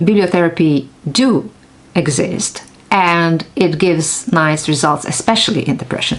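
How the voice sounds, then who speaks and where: A woman with a non-native accent speaks at a fairly slow pace in a very deep, low pitch. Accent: non-native English, noticeable. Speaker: neuroscientist. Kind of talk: casual vlog talk.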